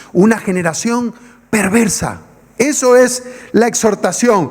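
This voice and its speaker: An animated man's voice, extremely high in pitch, with ordinary pitch variation over noticeable background noise. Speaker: pastor. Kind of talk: sermon.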